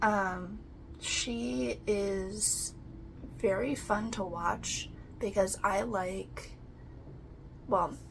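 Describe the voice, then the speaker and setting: There is audible room echo on this woman's voice. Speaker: crafting YouTuber. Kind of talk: casual chat. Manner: calm.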